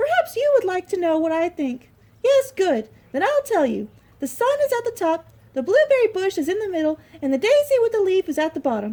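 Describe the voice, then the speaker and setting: A squeaky, put-on character voice moves at a fairly quick pace with very wide pitch swings. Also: woman, extremely high pitch for a woman. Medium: read story.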